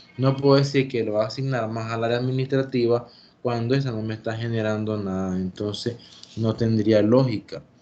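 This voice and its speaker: A man speaks at a fairly quick pace with a medium pitch and fairly even intonation, over noticeable background noise. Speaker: teacher. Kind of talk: lecture. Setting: video call.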